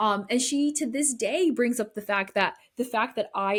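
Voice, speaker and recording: With an American accent, a woman talks at a moderate pace, her somewhat breathy voice rising and falling with lively intonation. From US Northeast, New Britain, Connecticut. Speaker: podcast host, brand strategist. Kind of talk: casual podcast monologue. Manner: animated, conversational.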